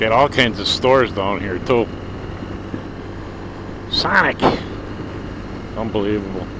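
Noticeable background noise sits under a dry sound with no echo. A man talks at a fairly slow pace with fairly low pitch and fairly even intonation. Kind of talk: casual ride commentary. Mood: joking, mildly annoyed at traffic. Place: motorbike.

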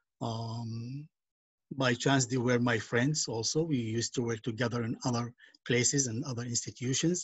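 A man with an Arabic accent sounds somewhat breathy. His intonation is fairly even, and the background is quiet. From Palestinian village in northern Israel near Nazareth. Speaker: nonprofit educator and activist. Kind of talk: online presentation. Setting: video call. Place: home room. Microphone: video call.

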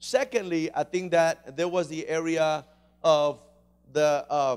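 Ordinary pitch variation marks this man's speech. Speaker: pastor. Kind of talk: sermon. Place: church. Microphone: handheld.

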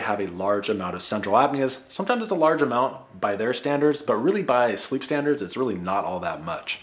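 Lively in intonation, a man talks at a very fast pace with hardly any pauses. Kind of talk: educational vlog talk. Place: home room.

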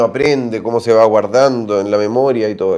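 The background stays quiet. A man speaks with a dark, mellow tone at a moderate pace. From Chile, Santiago; Chile. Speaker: doctor answering viewer health questions. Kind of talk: live stream Q&A. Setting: livestream. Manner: animated. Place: home room. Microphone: phone near.

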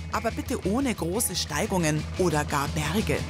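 Speech at a moderate pace over music in the background. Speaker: news reporter. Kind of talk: TV news narration.

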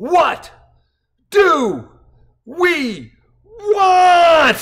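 Someone shouts in a put-on character voice. The pitch is extremely high. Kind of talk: punctilious, emphasizing each syllable. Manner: staccato, precise, shouted.

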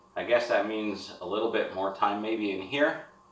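Audible room echo around a man's fairly low-pitched voice, at a moderate pace. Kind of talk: casual vlog chat. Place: garage. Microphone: camera far.

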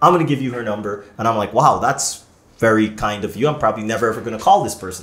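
With a Canadian accent, a man talks at a very fast pace in an animated tone, medium pitch and ordinary pitch variation, with audible room echo. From Canada. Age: 30s. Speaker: podcast host. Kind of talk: casual chat. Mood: relaxed, friendly. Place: studio.

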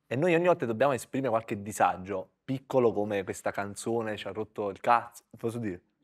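A man speaks very fast with hardly any pauses and big swings in loudness. His pitch variation is ordinary, and the background is quiet. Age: 30s. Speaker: comedian. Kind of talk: live podcast chat. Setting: stage with audience. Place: studio. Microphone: lapel.

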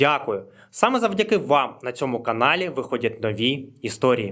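On a very clean recording with a silent background, a man speaks at a moderate pace with very wide pitch swings. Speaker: history YouTuber. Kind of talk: scripted narration; channel promo and outro.

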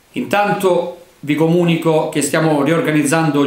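A man speaks with ordinary pitch variation, and room echo is audible. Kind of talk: formal address. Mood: formal, warm holiday greeting. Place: office. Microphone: camera far.

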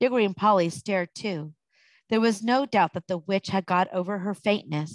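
With a quiet background, text is read aloud in a natural voice.

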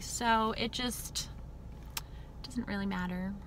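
A woman speaks with light background noise. The sound is dry, with no echo. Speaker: vlogger. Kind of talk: casual vlog chat. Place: car. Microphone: phone near.

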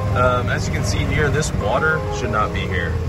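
Music plays behind a man speaking at a moderate pace, with a dry sound and no echo. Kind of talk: casual vlog chat. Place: open country. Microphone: phone near.

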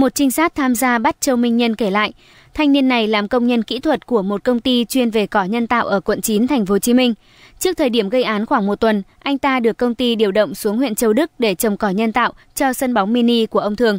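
Fairly high in pitch, a woman talks in a plain, everyday voice at a fairly quick pace, with ordinary pitch variation and very even loudness. The sound is dry and close with no echo, and the recording is very clean with a silent background. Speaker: news reader. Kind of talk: news reading. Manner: formal.

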